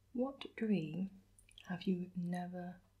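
A soft-spoken woman with a gentle tone over a quiet background. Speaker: vlogger asking questions. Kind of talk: casual vlog chat. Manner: soft-spoken, gentle, intimate ASMR voice. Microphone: phone near.

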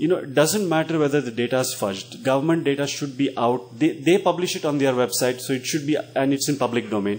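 This man talks at a very fast pace with hardly any pauses. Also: ordinary pitch variation. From India. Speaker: education NGO representative; panelist. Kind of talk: panel Q&A discussion. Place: meeting room. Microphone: handheld.

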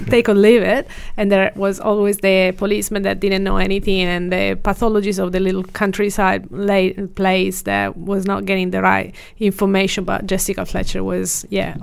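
Moderate pacing from a woman, the background quiet. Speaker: podcast guest. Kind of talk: interview answer. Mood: amused, laughing often. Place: studio. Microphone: studio mic.

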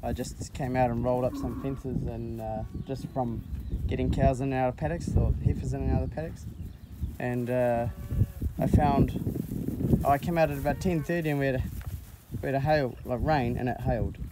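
A man speaks at a moderate pace with long, frequent pauses, his voice dry with no echo over loud background noise. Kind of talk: casual vlog chat. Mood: relaxed, matter-of-fact. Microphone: phone near.

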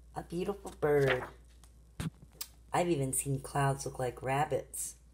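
Over noticeable background noise, a woman speaks at a fairly slow pace with a warm, gentle tone. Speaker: grandmother reading to her granddaughter. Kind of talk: children's bedtime story reading. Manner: warm, gentle, interactive. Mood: gentle, warm. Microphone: phone near.

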